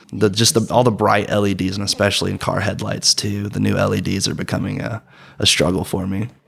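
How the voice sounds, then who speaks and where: Over noticeable background noise, a man with an American accent and a fairly low voice talks very fast with fairly even intonation. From US South, rural Georgia. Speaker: college student with vision loss. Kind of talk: casual interview.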